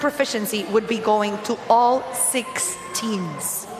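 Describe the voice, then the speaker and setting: Her pitch variation is ordinary as this woman speaks. There is noticeable background noise. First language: not English. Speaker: live event commentator. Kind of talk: live commentary.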